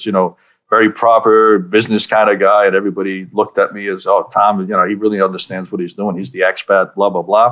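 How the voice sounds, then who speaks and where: The speech, in a New York accent, moves at a very fast pace. The intonation is monotone and flat. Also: man, fairly low pitch for a man. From Budapest-born, lived in New York and Southern California. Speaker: leadership coach, speaker and author. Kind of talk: podcast interview answer.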